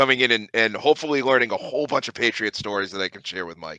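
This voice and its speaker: Sounding animated, a man with a medium-pitched voice and a bright, sharp tone talks at a very fast pace, the sound dry and close with no echo against a quiet background. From Boston area, Massachusetts. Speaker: sports writer and podcaster. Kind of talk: casual podcast chat. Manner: animated, with many restarts.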